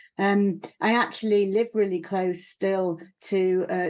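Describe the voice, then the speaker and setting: A woman with a Yorkshire accent talks at a medium pitch with fairly even intonation. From northern England, Leeds. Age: 50s. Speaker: broadcaster and former politician. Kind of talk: TV panel discussion. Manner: halting.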